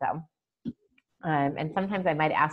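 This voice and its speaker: A woman with an American accent talks in a very deep, low pitch. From Chicago. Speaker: email marketing strategist and virtual event producer; webinar presenter. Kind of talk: webinar training presentation. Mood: upbeat, playful. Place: home room. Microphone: video call.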